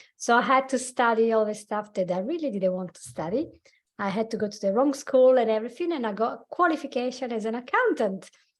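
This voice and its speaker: Speaking fairly quickly with an Italian accent, a woman uses lively intonation at a fairly high pitch. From Italy. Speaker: life coach and hypnotherapist. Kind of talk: podcast interview. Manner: halting.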